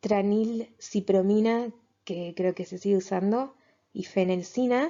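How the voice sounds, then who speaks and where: A woman speaks at a very slow pace. Her medium pitch shows ordinary variation. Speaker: biologist and mental health educator. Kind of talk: lecture. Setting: presenting slides. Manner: stammering, halting.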